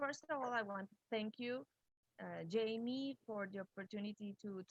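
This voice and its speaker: A woman's fairly high voice with a non-native accent, at a fairly slow pace with ordinary pitch variation. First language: Spanish. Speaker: history professor. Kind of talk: panel discussion. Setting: video call. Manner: halting.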